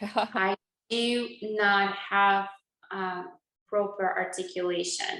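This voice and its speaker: A woman with a Russian accent speaks at a very slow pace with long, frequent pauses, a medium pitch and a monotone, flat intonation, with audible room echo. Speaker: dentist and channel host. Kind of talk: interview conversation.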